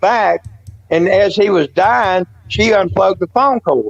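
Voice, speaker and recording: A man with a Southern US accent at a moderate pace, in a dry, close recording with no echo. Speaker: paranormal witness. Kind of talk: casual interview chat. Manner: rambling with fillers and restarts.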